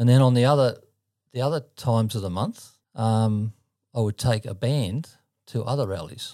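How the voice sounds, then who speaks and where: Very cleanly recorded against a silent background, a man speaks with an Australian accent. His tone is dark and mellow, at a medium pitch with ordinary pitch variation. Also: moderate pace. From Sydney, Australia (Mortdale, southern suburbs). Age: 70s. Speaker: church musician and travelling gospel performer. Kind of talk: casual interview storytelling.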